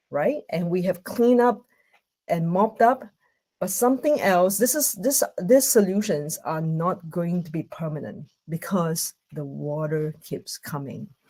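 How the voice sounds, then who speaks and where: Slow-paced and fairly unhurried, a woman speaks in a dark, mellow tone with very wide pitch swings. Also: medium pitch for a woman. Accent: Singaporean. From Singapore. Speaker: conference speaker. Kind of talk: online conference talk. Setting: video call from home. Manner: hesitant, many fillers.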